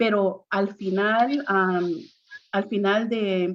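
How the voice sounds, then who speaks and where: Here a woman speaks at medium pitch. Her intonation stays fairly even. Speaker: priest on preaching panel. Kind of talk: panel discussion. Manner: halting, many repetitions.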